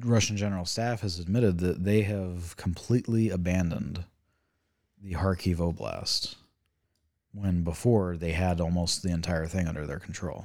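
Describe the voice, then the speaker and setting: A man at a moderate pace with ordinary pitch variation, on a very clean recording with a silent background. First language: not English. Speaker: geopolitics and economics commentator. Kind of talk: casual chat.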